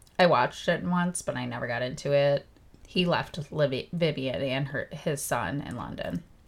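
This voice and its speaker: Using a very deep, low pitch with vocal fry, a woman speaks at a moderate pace with ordinary pitch variation. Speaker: podcast co-host. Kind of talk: casual chat, reading from prepared notes.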